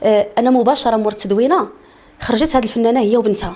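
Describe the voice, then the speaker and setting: A woman with a Moroccan accent speaks in an animated tone at a fairly quick pace, her voice fairly high with ordinary pitch variation. Noticeable background noise runs underneath. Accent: Moroccan Arabic (Darija). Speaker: singer. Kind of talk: interview.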